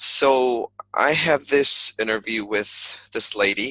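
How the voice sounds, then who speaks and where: At a medium pitch, a man with a slight American accent has a bright, sharp tone and a dry, close sound with no echo. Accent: slight American flavor in his English. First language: Spanish. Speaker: English teacher. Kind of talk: personal vlog monologue. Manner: halting, many fillers and repetitions.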